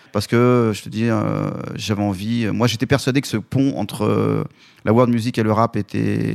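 Over a very clean recording with a silent background, a man speaks in a normal speaking voice, fairly low in pitch, with fairly even intonation. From Lyon suburbs, France (Vénissieux). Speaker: concert producer. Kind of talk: interview. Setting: studio.

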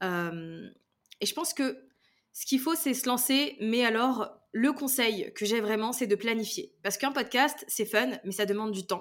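In a very clean recording with a silent background, a woman speaks at a fairly slow pace. Her fairly high voice has lively intonation. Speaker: podcasting trainer. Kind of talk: interview. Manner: smiling tone; casual, animated.

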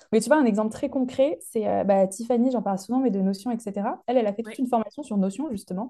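Very fast and fairly high in pitch, a woman speaks with ordinary pitch variation. Her tone is dark and mellow. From France, Lyon. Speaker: digital learning trainer. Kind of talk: casual interview chat.

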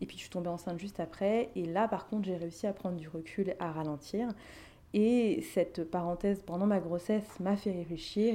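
This woman's voice sits at a medium pitch with a dark, mellow tone. She keeps a moderate pace and fairly even intonation. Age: 30s. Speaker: life coach. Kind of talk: interview.

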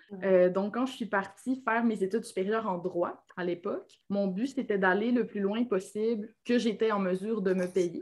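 A woman at medium pitch and moderate pace, with fairly even intonation and hardly any pauses. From Quebec, Lac-Saint-Jean (Alma). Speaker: copywriter and entrepreneur. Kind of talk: interview conversation.

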